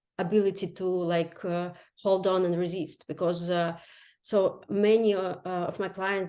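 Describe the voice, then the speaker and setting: The background is quiet as a woman speaks in a fairly low voice. Her intonation is monotone and flat. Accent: Ukrainian. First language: Ukrainian or Russian. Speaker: health coach. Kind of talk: interview. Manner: halting, many fillers.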